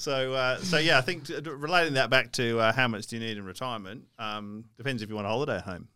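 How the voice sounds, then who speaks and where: Talking at a very fast pace with hardly any pauses, a man with an Australian accent has a bright, sharp tone, medium pitch, ordinary pitch variation and big swings in loudness. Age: 30s. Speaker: financial podcast co-host. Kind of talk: casual chat.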